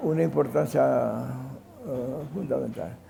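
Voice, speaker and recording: A man talks at a fairly slow pace. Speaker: sociologist and educator. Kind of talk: interview answer. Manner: halting, with fillers and self-corrections.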